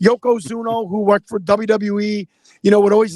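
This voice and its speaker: A man talks loudly and very fast in a Chicago accent. His voice is high, and the sound is dry and close with no echo. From Chicago, US Midwest. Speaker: former pro wrestler and political candidate. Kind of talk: live stream Q&A interview. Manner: halting.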